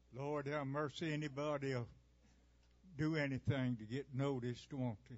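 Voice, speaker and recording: In a Southern US accent, the speaker keeps a moderate pace and fairly even intonation. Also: man, fairly high pitch for a man. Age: 90s. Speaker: performer, recitation artist. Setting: stage with live audience.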